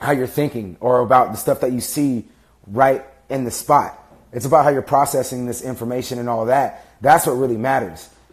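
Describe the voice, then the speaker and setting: At a fairly quick pace, a man talks with medium pitch and fairly even intonation. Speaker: fitness and motivation vlogger. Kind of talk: livestream monologue. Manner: fast; casual, halting with fillers.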